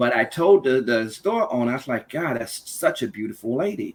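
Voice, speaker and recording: A man with a Louisiana accent, at a moderate pace, with very wide pitch swings. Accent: Louisiana Southern US. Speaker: panel guest. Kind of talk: personal storytelling in a podcast discussion.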